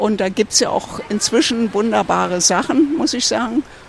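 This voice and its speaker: Over noticeable background noise, a woman talks at a fairly slow pace in a fairly high voice with very wide pitch swings. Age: 80s+. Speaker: passer-by. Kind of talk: street interview. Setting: outdoors at a public hearing event.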